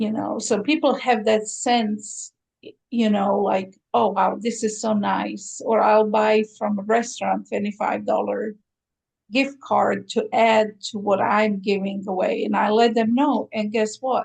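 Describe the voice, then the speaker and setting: Using fairly even intonation, a woman with a Croatian accent speaks with vocal fry. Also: fairly high pitch for a woman, fairly slow pace. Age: 60s. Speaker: aesthetician, spa owner. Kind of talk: interview.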